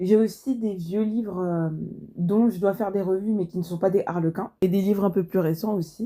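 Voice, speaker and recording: A woman's medium-pitched voice, dark and mellow in tone, with ordinary pitch variation, on a very clean recording with a silent background. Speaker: book review youtuber. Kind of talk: casual book review monologue.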